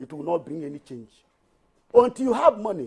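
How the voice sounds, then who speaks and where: Speaking with a Nigerian accent, a man moves at a fairly quick pace. His tone is dark and mellow. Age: 60s. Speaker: tax reform campaigner. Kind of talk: TV panel discussion. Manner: animated; halting.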